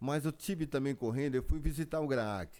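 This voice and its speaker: This man's voice sits fairly high and has a dark, mellow tone. He talks at a moderate pace. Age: 70s. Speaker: celebrity lookalike. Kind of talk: casual interview chat. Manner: halting.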